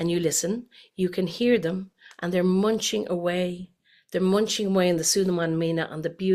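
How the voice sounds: Against a quiet background, the reading voice sounds natural.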